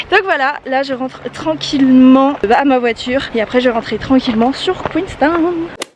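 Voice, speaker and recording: Against noticeable background noise, a woman speaks at a moderate pace with hardly any pauses, using a high pitch and ordinary pitch variation. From Brittany, France. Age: 20s. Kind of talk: casual vlog narration while hiking. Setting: outdoors.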